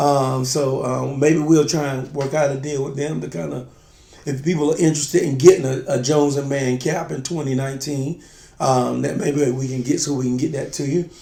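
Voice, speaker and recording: Audible room echo surrounds a man speaking at a fairly quick pace. His pitch is fairly high, with fairly even intonation. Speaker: spirits review show co-host. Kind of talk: casual chat. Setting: video shoot.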